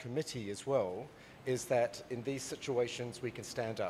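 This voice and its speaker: Over noticeable background noise, a man talks at a moderate pace in a medium pitch. His pitch varies in an ordinary way. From Britain. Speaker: wildlife veterinarian and workshop committee member. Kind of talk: conference presentation.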